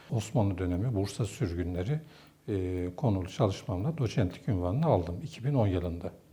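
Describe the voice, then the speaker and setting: Somewhat breathy and dark, mellow in tone, a man speaks at a moderate pace in a fairly low pitch with lively intonation. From northeastern Turkey (Ardahan, Posof). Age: 50s. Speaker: theology professor. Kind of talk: interview monologue. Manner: formal.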